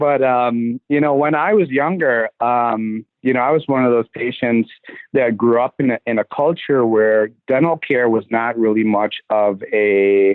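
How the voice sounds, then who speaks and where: Speaking at a fairly slow pace with hardly any pauses, a man has a medium-pitched voice and a slight Trinidadian accent. His loudness stays very even, with ordinary pitch variation. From Trinidad and Tobago. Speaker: dentist. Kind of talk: podcast interview. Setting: podcast recording.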